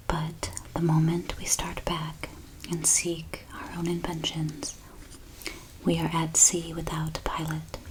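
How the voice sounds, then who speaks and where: Against noticeable background noise, the soft-spoken delivery moves at a very slow pace. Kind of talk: soft-spoken devotional reading for relaxation.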